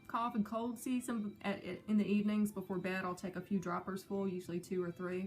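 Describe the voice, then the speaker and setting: Somewhat breathy and medium in pitch, a woman's voice keeps fairly even intonation. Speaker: pagan practitioner vlogger. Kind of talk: reading aloud from a book; casual show-and-tell vlog. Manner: hesitant, many fillers.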